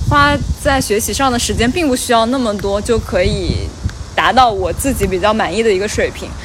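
A woman speaks at a moderate pace, and noticeable background noise can be heard. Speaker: podcast host. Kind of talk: casual chat.

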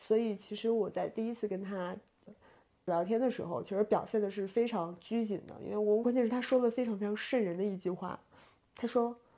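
A woman's dark, mellow voice at a fairly quick pace. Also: fairly high pitch for a woman, fairly even intonation. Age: 20s. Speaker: podcast co-host. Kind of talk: casual chat. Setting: lying in bed.

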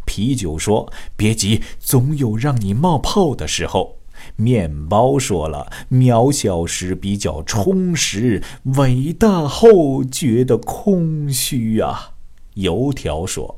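In a Shanghai accent, a man at medium pitch speaks very slowly with a dark, mellow tone, very wide pitch swings and big swings in loudness. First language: Shanghainese (speaking Chinese). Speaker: radio show host. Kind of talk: radio monologue telling jokes in Shanghainese. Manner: animated, laughing.

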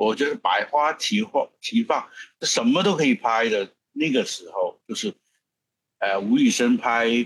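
A man with a slight Hong Kong accent, fairly slow, in dry, close sound with no echo. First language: Cantonese (speaking Chinese). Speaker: film producer. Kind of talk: interview. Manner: halting.

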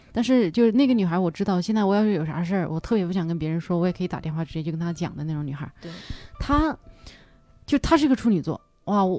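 Very wide pitch swings mark a woman's speech at a very fast pace. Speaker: podcast host and stand-up comedian. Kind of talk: casual chat. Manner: loud exaggerated laugh.

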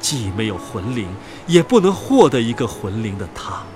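Over faint background music, a man speaks at a moderate pace and medium pitch with big pitch swings.

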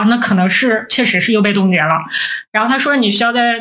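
Over audible room echo, a woman talks very fast in a fairly high voice with ordinary pitch variation. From Northeast China. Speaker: podcast co-host, PhD student. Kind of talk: casual chat.

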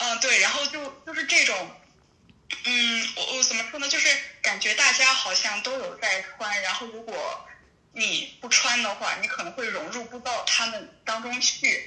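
Clear background noise sits under the speech. The delivery is moderately paced. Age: 20s. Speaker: university student caller. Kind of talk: casual chat.

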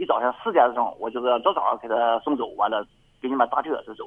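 A man speaks at a very fast pace. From rural Pulandian, Liaoning. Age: 50s. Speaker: caller. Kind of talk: call-in conversation. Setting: phone call. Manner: halting.

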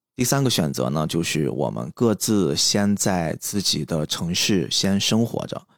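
A man speaks at a fairly slow pace with hardly any pauses, his very deep, low voice swinging very widely in pitch on a very clean recording with a silent background. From Qingdao, China. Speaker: podcast host. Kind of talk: solo personal monologue.

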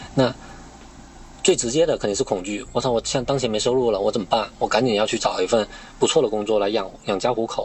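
A man's medium-pitched voice at a very fast pace, with ordinary pitch variation amid noticeable background noise. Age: 30s. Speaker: podcast host and internet industry worker. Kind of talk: casual chat.

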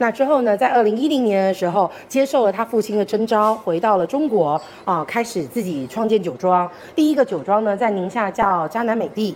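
With lively intonation and a fairly quick pace, a woman talks in a normal speaking voice. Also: fairly high pitch for a woman. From Taiwan. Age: 40s. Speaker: wine brand marketing director. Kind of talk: wine tasting presentation. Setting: live event with audience.

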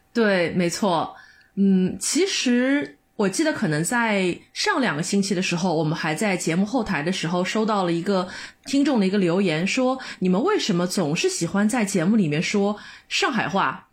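With lively intonation, a woman speaks at a moderate pace and a medium pitch. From Shanghai. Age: 30s. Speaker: podcast co-host, office worker. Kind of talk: casual chat.

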